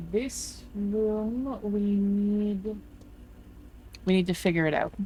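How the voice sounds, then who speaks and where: At a very slow pace with long, frequent pauses, a woman of medium pitch talks in a somewhat breathy, dark, mellow tone, her loudness very even and her intonation fairly even. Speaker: gaming streamer. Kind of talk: live gameplay commentary.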